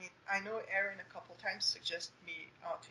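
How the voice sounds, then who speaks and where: A woman with a French Canadian accent talks at a medium pitch and a fairly quick pace. Her intonation is fairly even against noticeable background noise. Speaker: young adult author. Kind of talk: interview. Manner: hesitant, many fillers.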